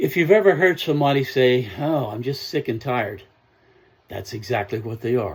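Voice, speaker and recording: A man talks at a moderate pace with lively intonation. His voice is somewhat breathy. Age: 70s. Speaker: self-help speaker. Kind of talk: motivational talk.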